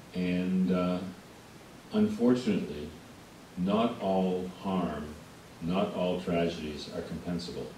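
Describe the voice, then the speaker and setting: The man's voice is very deep and low, with fairly even intonation and a very slow pace full of long, frequent pauses. Audible room echo and noticeable background noise surround him. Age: 60s. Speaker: witness at public hearing. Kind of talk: testimony.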